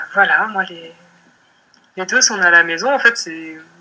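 A woman's voice with ordinary pitch variation. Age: 20s. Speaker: mother sharing birth story. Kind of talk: personal testimony interview. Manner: hesitant, many filler words.

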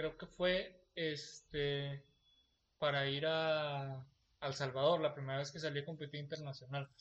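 Speaking at a very slow pace, a man holds a fairly high pitch in a monotone, flat delivery. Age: 20s. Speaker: podcast host. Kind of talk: casual chat.

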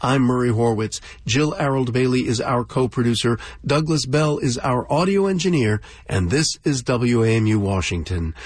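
At a moderate pace and medium pitch, a man speaks in a somewhat breathy voice with lively intonation and very even loudness. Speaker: radio host. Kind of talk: radio host introductions, scripted and polished. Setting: radio studio. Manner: warm, smooth, and genial.

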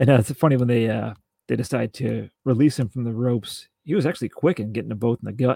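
A man speaks at a very fast pace with a dark, mellow tone. His voice is somewhat breathy, with a dry, close sound with no echo. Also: medium pitch for a man, ordinary pitch variation. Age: 40s. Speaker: wrestling podcast co-host. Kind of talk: casual chat.

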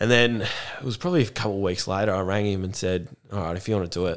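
Delivered at a very fast pace, the speech carries ordinary pitch variation. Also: man. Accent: Australian. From Australia, Gippsland, Victoria. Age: 20s. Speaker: mental health program facilitator and army veteran. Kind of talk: casual interview.

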